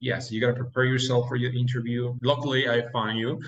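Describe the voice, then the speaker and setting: With a Mexican accent, a man speaks at a moderate pace in a medium-pitched, somewhat breathy voice with monotone, flat intonation. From Mexico. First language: Spanish. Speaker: dentist. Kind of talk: interview.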